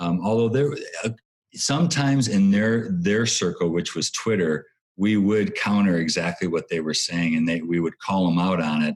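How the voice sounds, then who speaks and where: A man talks at a moderate pace in an unremarkable speaking voice. His pitch sits fairly low. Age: 60s. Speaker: former theme park company CEO. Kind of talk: interview.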